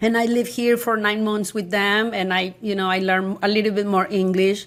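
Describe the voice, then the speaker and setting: A strong Mexican accent, fairly quick pace, and monotone, flat intonation at very even loudness. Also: woman, medium pitch for a woman. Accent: thick Mexican Spanish. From Mexico, San Luis Potosí. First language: Spanish. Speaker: high school Spanish teacher. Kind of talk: interview conversation. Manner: halting, many restarts.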